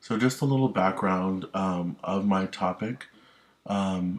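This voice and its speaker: A man's voice, fairly low in pitch. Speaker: student presenter. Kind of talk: class presentation. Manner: halting, many ums.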